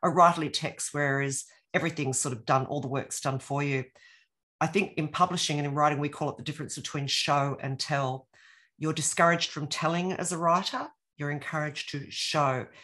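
The speaker has an Australian accent and a bright, sharp tone, moving at a fairly quick pace. Intonation stays fairly even over a quiet background. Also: woman, very deep, low pitch for a woman. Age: 60s. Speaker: author and former academic. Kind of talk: casual interview.

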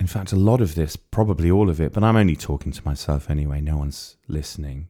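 Lively intonation and a dark, mellow tone from a man with a North Wales accent, on a very clean recording with a silent background. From North Wales, near the Wirral. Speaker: writer and narrator. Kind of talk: scripted narration.

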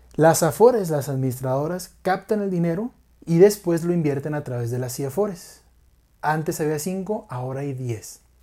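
A man with a Mexican accent, fairly high in pitch, at a moderate pace, with a dark, mellow tone, lively intonation, and a very clean recording with a silent background. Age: 20s. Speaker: finance podcast host. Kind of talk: educational monologue.

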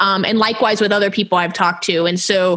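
A woman with a plain, everyday voice speaks at a medium pitch with an American accent. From Houston, Texas. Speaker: podcast host. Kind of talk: interview.

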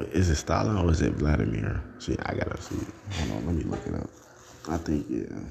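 Against noticeable background noise, a man with an American accent speaks at a fairly quick pace, very deep and low in pitch, with lively intonation. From United States. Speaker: podcast host. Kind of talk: casual solo monologue.

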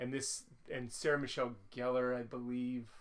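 A man is speaking here. His pitch is medium. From not from Boston. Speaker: podcast co-host. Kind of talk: casual chat. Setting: home recording with sleeping dogs.

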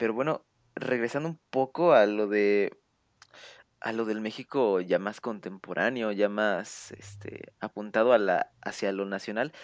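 A fairly low voice belongs to this man, and its pitch variation is ordinary. The background is silent on this very clean recording. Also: fairly slow pace, dry, close sound with no echo. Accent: Mexican. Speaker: podcast host. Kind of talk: podcast interview. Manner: stuttering, halting.

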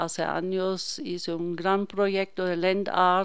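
In a very clean recording with a silent background, a woman with a German accent speaks very slowly at a medium pitch. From Germany, Hannover. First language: German (speaking Spanish). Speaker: painter. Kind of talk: radio interview.

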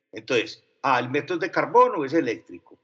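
A man with a Paisa accent speaks at a moderate pace. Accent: Paisa (Antioquia) Spanish. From Medellín, Colombia (from age 12). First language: French (speaking Spanish). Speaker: advertising executive. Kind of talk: interview.

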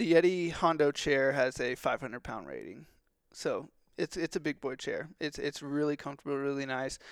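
A man with an American accent speaks at a moderate pace in a normal speaking voice, his intonation fairly even, in a dry, close recording with no echo that is very clean against a silent background. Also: fairly high pitch for a man. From Texas. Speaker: outdoor gear company marketer. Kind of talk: casual chat.

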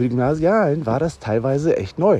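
A man's dark, mellow voice with vocal fry. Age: 40s. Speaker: podcast host and teacher. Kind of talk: casual solo podcast monologue.

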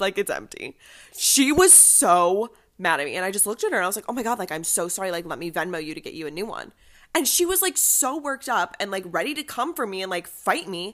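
Her tone animated, a woman with a medium pitch talks at a fairly quick pace, her pitch swinging very widely. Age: 20s. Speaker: college student and podcast co-host. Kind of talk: casual chat.

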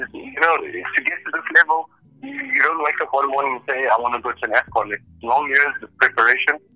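The speech runs at a fairly quick pace with big swings in loudness. It sounds dry and close with no echo, over noticeable background noise. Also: man. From South Africa. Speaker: football referee. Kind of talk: interview. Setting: phone call.

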